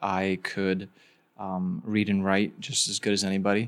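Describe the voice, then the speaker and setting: A man with a plain, everyday voice and fairly low pitch talks at a fairly slow pace on a very clean recording with a silent background. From Bosnia, raised in US from age five. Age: young. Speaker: startup founder. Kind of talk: interview conversation.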